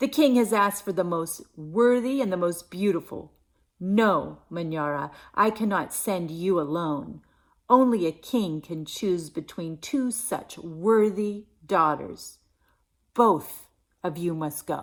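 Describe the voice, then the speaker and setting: A female-sounding put-on character voice at a middle pitch moves at a fairly slow pace in a very clean recording with a silent background. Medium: read story.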